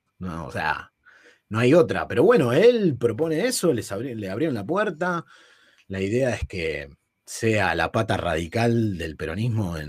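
On a very clean recording with a silent background, a man speaks at a fairly slow pace and fairly low pitch, with very wide pitch swings and big swings in loudness. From Buenos Aires northern suburbs, Argentina. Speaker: podcast co-host. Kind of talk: casual chat.

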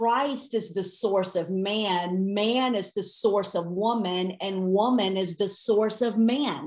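Very slow speech from a woman at medium pitch, with ordinary pitch variation. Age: 40s. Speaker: Bible teacher. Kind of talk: teaching interview. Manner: animated.

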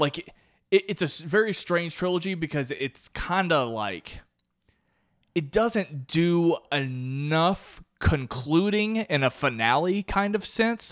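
With lively intonation and a high pitch, a man speaks at a very slow pace in a dry, close sound with no echo on a very clean recording with a silent background. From Kentucky. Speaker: film podcast host. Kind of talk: casual chat.

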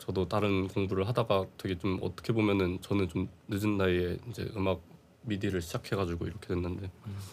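On a very clean recording with a silent background, a man with a very deep, low pitch talks at a fairly quick pace in a flat monotone. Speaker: podcast host. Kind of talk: casual interview chat. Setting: studio.

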